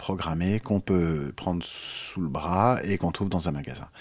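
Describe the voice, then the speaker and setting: A man with a very deep, low pitch, ordinary pitch variation and a moderate pace. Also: very clean recording, silent background. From France. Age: 50s. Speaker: jazz pianist and author. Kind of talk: interview.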